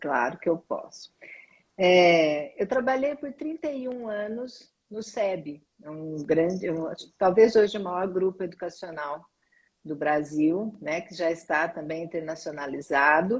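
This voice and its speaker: In an ordinary speaking voice, a woman with a fairly low pitch talks with lively intonation and big swings in loudness. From Brazil, interior of São Paulo state. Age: 60s. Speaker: school director and management consultant. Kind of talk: interview. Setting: live stream.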